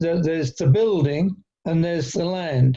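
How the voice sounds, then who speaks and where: At a fairly slow pace, a man speaks with a high pitch, fairly even intonation and a dark, mellow tone. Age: 70s. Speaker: land value tax advocate. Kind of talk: roundtable discussion. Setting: video call.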